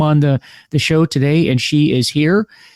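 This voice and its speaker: A man with an American accent talks at a fairly quick pace in a dry, close sound with no echo. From United States. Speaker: podcast host. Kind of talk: interview podcast. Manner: halting, many fillers and repeats.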